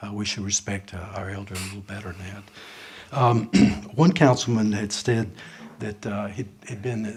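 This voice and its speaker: With a Southern US accent, a man speaks in a fairly low, somewhat breathy voice using fairly even intonation. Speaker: citizen speaker at public forum. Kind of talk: public comment. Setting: council chamber. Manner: halting.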